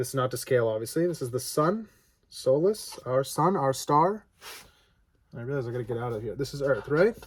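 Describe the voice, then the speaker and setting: Somewhat breathy and fairly high, this man's voice moves at a fairly quick pace with lively intonation. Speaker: father explaining science to his daughter. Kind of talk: casual talk to camera. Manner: stuttering, halting.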